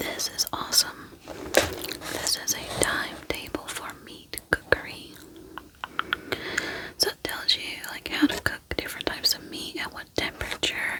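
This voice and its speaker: A woman whispering at a fairly slow pace amid noticeable background noise. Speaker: ASMR creator. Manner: whispering, soft, slow, relaxing.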